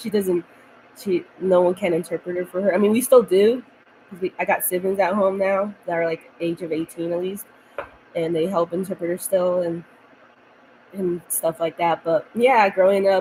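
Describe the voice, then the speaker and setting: Against noticeable background noise, a woman speaks at medium pitch and a moderate pace with fairly even intonation. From United States, Mexican-American family. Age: 20s. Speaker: vlogger. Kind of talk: casual chat. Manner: rambling, halting.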